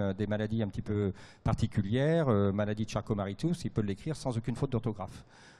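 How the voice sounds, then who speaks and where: The background is quiet as a man talks at a fairly quick pace. His voice has a dark, mellow tone and a fairly low pitch. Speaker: radiologist. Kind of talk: panel talk at trade fair. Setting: trade fair stage with audience. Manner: fast; hesitant, many fillers.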